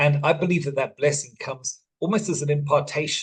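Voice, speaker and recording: Somewhat breathy, a man talks at a moderate pace with a fairly high pitch. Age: 60s. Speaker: life coach and father. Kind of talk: masterclass talk. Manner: halting.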